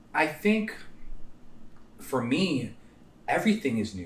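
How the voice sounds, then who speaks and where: Speaking at a fairly slow pace, a man with a high pitch makes very wide pitch swings. The recording has audible room echo and noticeable background noise. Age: 20s. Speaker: podcast co-host, recovering addict. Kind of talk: casual chat.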